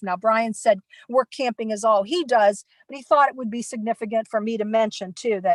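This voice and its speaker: A woman's plain, everyday voice, fairly high in pitch with ordinary pitch variation, in a dry, close sound with no echo. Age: 60s. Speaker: nomad work camper. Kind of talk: panel presentation. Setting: online virtual conference.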